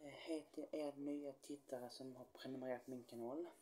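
A man's dark, mellow tone at a moderate pace. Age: 20s. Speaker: YouTuber; youtuber. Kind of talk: vlog introduction to camera. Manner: halting, many fillers. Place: home room.

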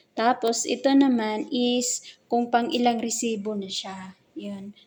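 The speaker uses a normal speaking voice at a fairly slow pace, with ordinary pitch variation. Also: woman. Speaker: vlogger. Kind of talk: casual vlog narration. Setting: walking through a mall.

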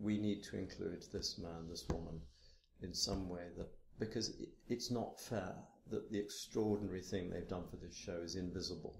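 A soft-spoken man with a British accent talks at a moderate pace. His voice is somewhat breathy and very deep and low, with fairly even intonation. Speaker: theatre and opera director. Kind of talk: interview answer.

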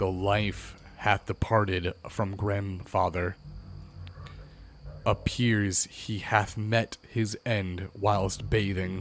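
Over clear background noise, a man puts on a character voice with a fairly low pitch and a very slow pace. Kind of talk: archaic, solemn commands. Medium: game stream. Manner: imperious, cold.

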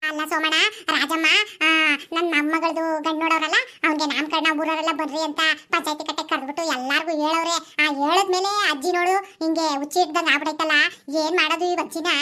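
A woman's put-on character voice, extremely high-pitched and monotone with flat intonation, at a moderate pace. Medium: comedy sketch.

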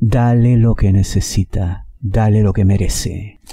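The tone is dark and mellow. Vocal fry and a slightly husky edge run through it. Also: man.

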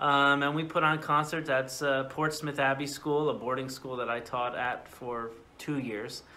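A man talks in an American accent with a bright, sharp tone. His pitch is fairly high. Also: fairly even intonation, moderate pace, hardly any pauses. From US New England, New Haven, Connecticut. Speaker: orchestra conductor. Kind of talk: casual interview. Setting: video call.

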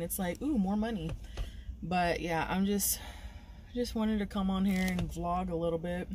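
A woman's voice with a dry sound, no echo and light background noise. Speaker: delivery driver vlogger. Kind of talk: casual vlog chat. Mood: upbeat, talkative. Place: car. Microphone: phone near.

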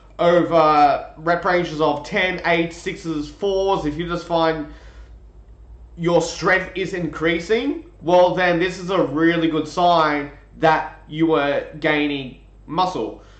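A man speaks very slowly at a high pitch with fairly even intonation. Audible room echo surrounds his voice. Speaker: strength coach. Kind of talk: lecture. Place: home room. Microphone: webcam.

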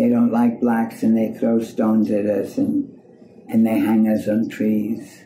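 Over light background noise and audible room echo, a woman speaks at a fairly slow pace with very even loudness. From Germany. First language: German. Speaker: civil rights activist; interviewee. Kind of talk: personal storytelling. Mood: warm, smiling recollection. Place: home room.

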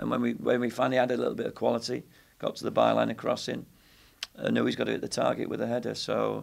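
A man talks very fast, the background quiet. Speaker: football head coach. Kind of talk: interview answer. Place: hall.

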